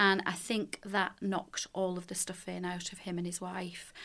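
A woman's medium-pitched voice with a Lancashire accent, monotone and flat in intonation, at a fairly slow pace, in a very clean recording with a silent background. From Leigh, Lancashire. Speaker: charitable trust director. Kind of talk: podcast panel discussion.

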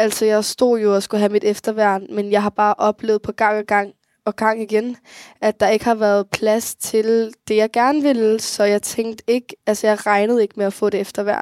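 A woman speaks at a fairly high pitch and a moderate pace in a monotone, flat intonation with very even loudness, her voice dry and close with no echo on a very clean recording with a silent background. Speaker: young person who grew up in care. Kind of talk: interview.

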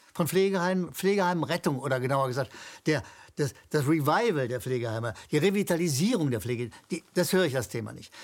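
This man's pitch is fairly high, and he talks very fast with lively intonation. The recording is very clean, with a silent background. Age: old. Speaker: political commentator. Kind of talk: interview.

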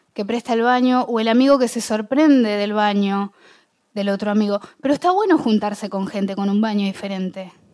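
Her pitch sits fairly high. This woman's tone is dark and mellow. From Argentina, Bahía Blanca. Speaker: public speaker. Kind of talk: talk to an audience.

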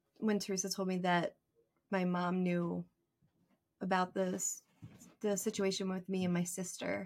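In a very clean recording with a silent background, a woman with a normal speaking voice talks at a fairly slow pace and medium pitch, with very even loudness. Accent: American. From Philadelphia area. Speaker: reading recipient. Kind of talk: casual chat; testimony.

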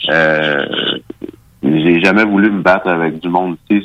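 Talking at a moderate pace, the man uses a very deep, low pitch and fairly even intonation. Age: 30s. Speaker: MMA fighter. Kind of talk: radio interview.

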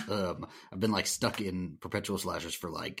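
With an American accent, a man talks at a moderate pace in an unremarkable speaking voice with a fairly low pitch. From US South. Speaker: horror podcaster. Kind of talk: casual chat.

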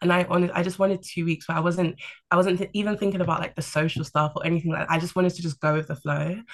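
The delivery comes at a very fast pace. It is spoken in a London accent. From London, England. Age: 20s. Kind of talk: casual chat. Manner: calm, level-headed.

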